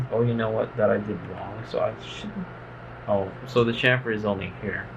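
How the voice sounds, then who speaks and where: A man's speech carries audible room echo, with noticeable background noise beneath it. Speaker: engineering tutorial maker. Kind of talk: tutorial. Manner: casual, with filler words.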